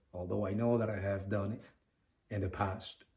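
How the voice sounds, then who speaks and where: A man with a non-native accent speaks at a moderate pace in a fairly low, somewhat breathy voice. His intonation stays monotone and flat. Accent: foreign. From Venezuela. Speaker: podcast co-host. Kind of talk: casual podcast chat.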